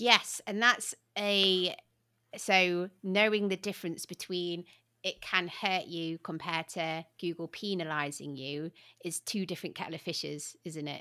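A woman with a British accent speaks at a fairly slow pace in a fairly low pitch, her tone bright and sharp. Her intonation stays fairly even, and the recording is very clean with a silent background. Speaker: podcast host. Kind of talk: casual interview chat. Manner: friendly, warm.

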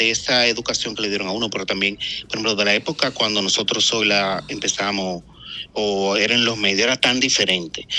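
With a normal speaking voice, a man talks at a fairly quick pace, keeping a fairly low pitch and fairly even intonation. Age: 40s. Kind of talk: interview testimony.

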